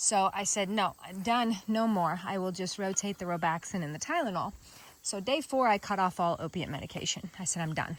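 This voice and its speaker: On a very clean recording with a silent background, a woman with a Kansas accent speaks with ordinary pitch variation. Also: medium pitch for a woman, fairly quick pace. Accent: Midwestern US (Kansas). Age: 40s. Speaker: vlogger. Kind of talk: personal video diary. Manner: casual, conversational.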